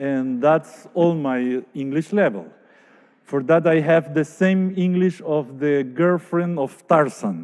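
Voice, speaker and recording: With a Spanish accent, a man speaks very slowly. His pitch is fairly high, with ordinary variation. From Paraguay, Asunción. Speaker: architect. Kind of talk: lecture. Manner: halting.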